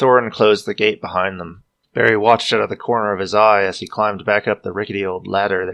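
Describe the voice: Against a quiet background, the plain reading aloud keeps a fairly even intonation.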